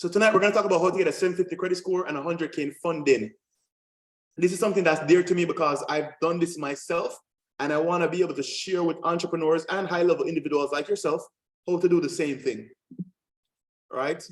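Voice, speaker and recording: With a Jamaican accent, a man with a high pitch talks energetically at a very fast pace, using ordinary pitch variation and long, frequent pauses. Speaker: credit and funding coach, military veteran. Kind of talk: webinar masterclass presentation. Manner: assertive, energetic.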